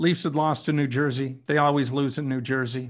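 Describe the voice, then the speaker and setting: A man speaks at a moderate pace in a fairly high pitch, on a very clean recording with a silent background. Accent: Ontario. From Ontario, Canada. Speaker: retired hockey reporter. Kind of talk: interview. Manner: halting.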